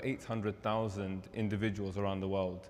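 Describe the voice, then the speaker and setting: The speaker talks at a fairly quick pace in a London accent. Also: man. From London, England. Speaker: charity representative. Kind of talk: presentation.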